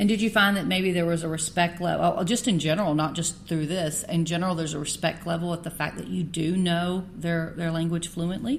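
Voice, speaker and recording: The voice is somewhat breathy and moves at a fairly quick pace with hardly any pauses. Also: woman, fairly low pitch for a woman, fairly even intonation. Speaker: podcast host. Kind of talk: interview. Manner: halting.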